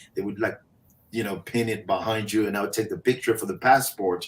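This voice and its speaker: A man speaks with a Haitian accent at a medium pitch, his pitch varying in an ordinary way. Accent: Haitian accent, sing-song cadence. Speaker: motivational speaker. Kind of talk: interview storytelling.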